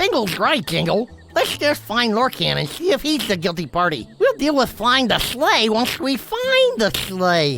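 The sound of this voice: A raised, projected cartoonish character voice at a moderate pace, hardly any pauses and very even loudness, with clear music in the background. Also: man, extremely high pitch for a man.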